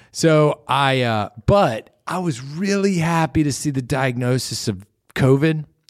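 Speaking with an American accent, a man uses a plain, everyday voice, fairly high in pitch, with lively intonation at a fairly slow pace. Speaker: podcast co-host. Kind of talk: casual chat. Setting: studio.

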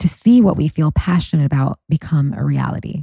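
Her voice has a dark, mellow tone and is somewhat breathy, with ordinary pitch variation at a moderate pace. This woman's recording sounds dry and close, with no echo. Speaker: podcast host. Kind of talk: interview conversation.

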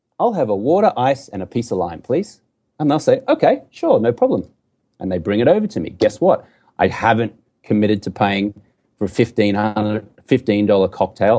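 Lively intonation marks this man's speech, in an Australian accent at a fairly quick pace. His voice has a medium pitch and a dark, mellow tone. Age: 40s. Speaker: entrepreneur and former TV sports anchor. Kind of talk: casual interview conversation.

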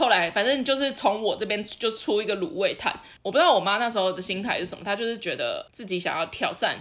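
This woman talks very fast in a Taiwanese accent, with fairly high pitch and lively intonation. She hardly pauses, and the recording is very clean with a silent background. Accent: Taiwanese Mandarin. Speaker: podcast co-host. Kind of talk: casual chat.

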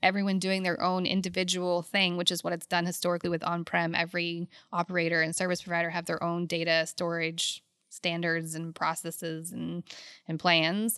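In an American accent, a woman speaks at a moderate pace in a fairly low pitch with a bright, sharp tone and monotone, flat intonation, captured in a very clean recording with a silent background. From Louisiana. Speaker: oil and gas executive. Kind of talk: casual interview chat.

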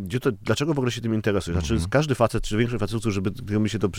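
Fairly low in pitch, a man talks at a very fast pace with ordinary pitch variation. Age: 30s. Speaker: crime novelist. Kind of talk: casual chat. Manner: halting.

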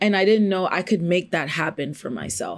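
The speaker is a woman with an American accent. She talks at a moderate pace. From New York City. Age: 20s. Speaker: content creator and former teacher. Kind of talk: interview.

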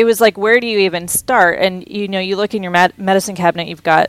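With an American accent, a woman speaks at a medium pitch with ordinary pitch variation. A normal speaking voice, recorded dry and close with no echo. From Texas, Houston. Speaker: cookbook author and food business founder. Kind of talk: casual interview.

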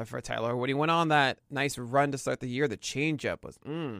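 In a very clean recording with a silent background, a man speaks fairly quickly with an American accent and a medium pitch. His tone is bright and sharp, with lively intonation and vocal fry. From New York City, Brooklyn. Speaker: baseball pitching analyst. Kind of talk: casual interview.

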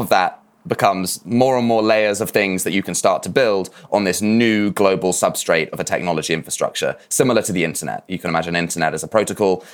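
This voice carries a southern English accent. The delivery moves fairly quickly. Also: man. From southwest England, Dorset. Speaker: regenerative finance founder. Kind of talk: interview. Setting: remote call. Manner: halting, many fillers.

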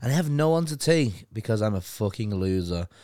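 With an animated tone and very wide pitch swings, a man speaks in a Liverpool accent on a very clean recording with a silent background. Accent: Scouse (Liverpool). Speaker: podcast co-host. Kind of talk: casual banter between co-hosts. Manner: animated, swears a lot.

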